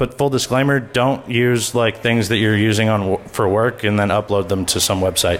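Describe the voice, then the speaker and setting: A man talks over noticeable background noise. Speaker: conference speaker on malware analysis. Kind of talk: conference talk with live demo. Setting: stage with audience. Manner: fast.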